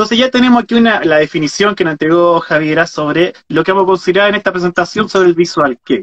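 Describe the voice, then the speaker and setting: Against a quiet background, a man talks very fast in a high pitch with ordinary pitch variation. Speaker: host and moderator of the talk. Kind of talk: interview question, moderating a live talk. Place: home room. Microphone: video call.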